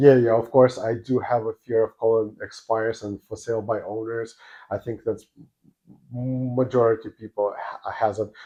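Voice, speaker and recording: At a moderate pace, a man with a non-native accent talks at medium pitch in a flat monotone. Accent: foreign. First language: not English. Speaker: real estate agent. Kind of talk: interview. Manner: halting, many fillers.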